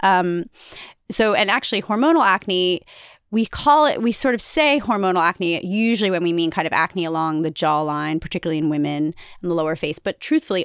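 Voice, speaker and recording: In a very clean recording with a silent background, a woman has a plain, everyday voice, fairly low in pitch with ordinary pitch variation, the sound dry and close with no echo. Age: 40s. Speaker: dermatologist. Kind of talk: expert interview.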